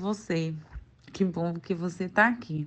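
A fairly slow-speaking woman, little sound behind her. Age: 20s. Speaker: university student. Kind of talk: interview testimony.

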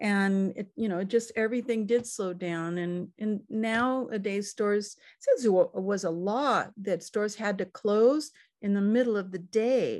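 In an American accent, a woman talks at a fairly slow pace with medium pitch and ordinary pitch variation. It is an unremarkable speaking voice against a quiet background. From California. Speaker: cookbook author and chef. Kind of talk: casual interview chat. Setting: video call.

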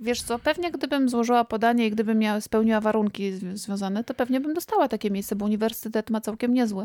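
With hardly any pauses, a woman talks at a very fast pace in a dark, mellow tone, her pitch fairly high with ordinary variation, and the sound dry and close with no echo. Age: 40s. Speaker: podcast co-host and doctoral student. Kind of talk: casual chat.

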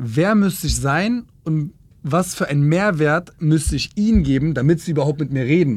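Using an unremarkable speaking voice, a man speaks at a fairly high pitch with ordinary pitch variation. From Berlin. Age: 20s. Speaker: influencer manager. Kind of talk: casual interview.

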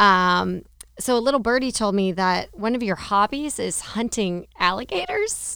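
On a very clean recording with a silent background, a woman uses a normal speaking voice with ordinary pitch variation. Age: 30s. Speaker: podcast host, chamber of commerce. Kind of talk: interview; sponsor read. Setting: studio.

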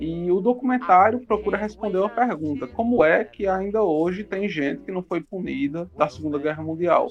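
A man's high-pitched voice at a moderate pace, with ordinary pitch variation and hardly any pauses. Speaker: podcast host. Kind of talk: casual chat.

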